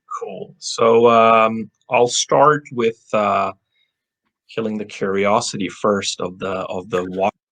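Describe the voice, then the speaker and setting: In an American accent, a man with medium pitch speaks very slowly and with fairly even intonation, the sound dry and close with no echo. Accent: American, kept after moving to UK. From US Midwest, Chicago. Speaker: finance business owner and YouTuber. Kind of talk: interview.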